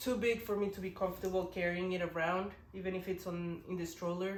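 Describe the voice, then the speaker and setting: Speaking at a moderate pace, a woman keeps her medium pitch in a monotone, flat line while room echo is audible. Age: 20s. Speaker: parenting vlogger. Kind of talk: casual vlog talk. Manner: casual, halting with restarts.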